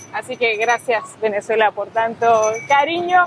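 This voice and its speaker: A woman talks fairly slowly against noticeable background noise. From Argentina. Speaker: travel vlogger. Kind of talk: travel vlog narration.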